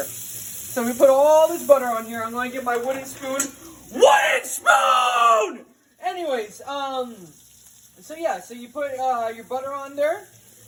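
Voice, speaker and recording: A man shouts in an animated tone at an extremely high pitch, with ordinary pitch variation and big swings in loudness. Noticeable background noise runs underneath. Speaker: cooking video host. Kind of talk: casual cooking tutorial.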